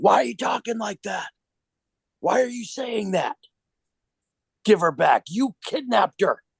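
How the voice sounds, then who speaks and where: In a raspy, put-on character voice with a fairly high pitch, the speaker shouts at a moderate pace, broken by long, frequent pauses. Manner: yelling, accusatory.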